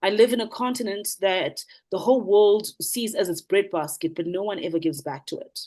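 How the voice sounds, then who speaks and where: A fairly quick-paced woman in a South African accent, medium in pitch with ordinary variation, a dark, mellow tone and big swings in loudness. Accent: South African (Zulu) English. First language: isiZulu. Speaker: motivational speaker, businesswoman. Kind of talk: panel Q&A answer.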